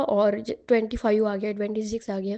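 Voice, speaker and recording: A woman talks at a fairly high pitch. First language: Marathi (speaking Hindi). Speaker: aspiring public speaker sharing success story. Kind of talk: testimony. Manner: conversational with hesitations.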